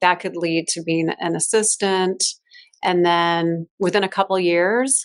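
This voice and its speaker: With an American accent, a woman in a plain, everyday voice speaks at medium pitch, at a fairly slow pace and with fairly even intonation. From Chicago, US Midwest. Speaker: fashion stylist. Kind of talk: interview conversation.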